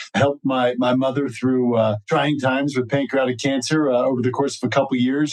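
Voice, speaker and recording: A man with a plain, everyday voice, medium in pitch, at a fairly quick pace. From New Jersey, US. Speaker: cannabis lawyer. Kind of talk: podcast interview. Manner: frequent fillers (uh).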